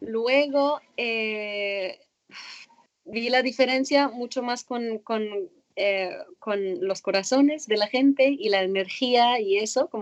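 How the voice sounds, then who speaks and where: A woman's fairly high voice at a very slow pace, with ordinary pitch variation and a dry, close sound with no echo. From Egypt, Cairo. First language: Arabic (speaking Spanish). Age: 20s. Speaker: former synchronized swimmer. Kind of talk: interview. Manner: halting.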